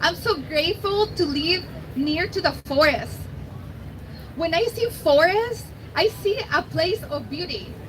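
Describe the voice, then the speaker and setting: A woman with a Mexican accent speaks at a fairly slow pace in an extremely high voice, her intonation lively and her speech broken by long, frequent pauses, with noticeable background noise. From Mexico. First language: Spanish. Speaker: environmental nonprofit outreach manager, biologist. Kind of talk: rally speech.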